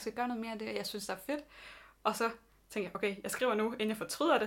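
On a very clean recording with a silent background, a woman talks at a very fast pace with a fairly high pitch. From Denmark, Southern Jutland (Vojens). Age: 20s. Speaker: podcast co-host, social media worker. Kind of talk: casual chat. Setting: home bedroom.

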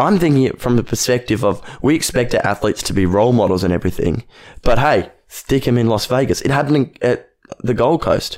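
A man with an Australian accent speaks at medium pitch with lively intonation. He keeps a fairly quick pace and very even loudness. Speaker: podcast co-host. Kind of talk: casual chat.

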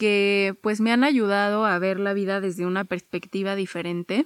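Recorded with a dry, close sound and no echo, a woman of medium pitch speaks at a moderate pace. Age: 20s. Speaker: podcast host, psychologist. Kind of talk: casual monologue.

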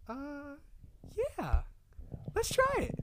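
The speaker uses a put-on character voice at an extremely high pitch. The pitch swings very widely. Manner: girly, casual, agreeable.

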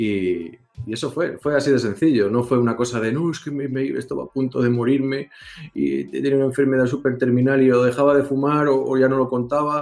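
A man with a Castilian accent speaks at a fairly quick pace with fairly even intonation over noticeable background noise. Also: medium pitch for a man. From Spain. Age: 40s. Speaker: vaping video reviewer. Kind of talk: casual chat.

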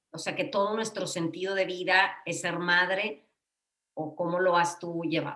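Speaking fairly slowly, a woman uses an unremarkable speaking voice, fairly low in pitch with ordinary pitch variation. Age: 50s. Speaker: psychotherapist, podcast co-host. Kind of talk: casual chat.

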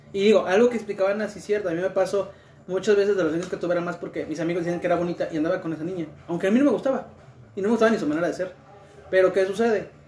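A man talks with a high pitch and ordinary pitch variation. Noticeable background noise runs underneath. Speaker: tattoo studio member. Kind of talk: casual chat.

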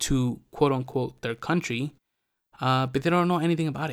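Through a very clean recording with a silent background comes a man of medium pitch with an American accent. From California. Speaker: podcast host. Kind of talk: casual solo monologue. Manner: halting, many fillers.

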